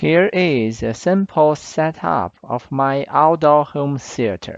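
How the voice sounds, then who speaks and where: At a very slow pace, a man with a non-native accent speaks at a fairly high pitch with lively intonation. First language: not English. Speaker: product reviewer / tech YouTuber. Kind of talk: tutorial.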